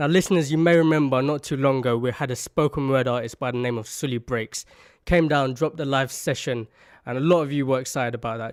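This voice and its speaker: In a very clean recording with a silent background, a man speaks very fast at a medium pitch with fairly even intonation. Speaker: radio presenter. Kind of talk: radio DJ intro.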